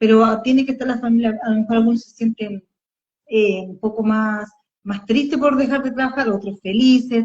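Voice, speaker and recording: A woman talks in a normal speaking voice at a fairly high pitch. Her pace is moderate, with big swings in loudness. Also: fairly even intonation. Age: 40s. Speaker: podcast co-host. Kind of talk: casual chat. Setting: live Instagram stream.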